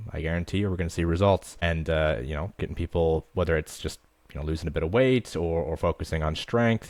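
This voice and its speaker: Very fast and very deep, a man with an American accent speaks with ordinary pitch variation in a dry, close sound with no echo. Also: very clean recording, silent background. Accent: American accent noticeable in Australia. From US Midwest. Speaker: fitness coach. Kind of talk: interview.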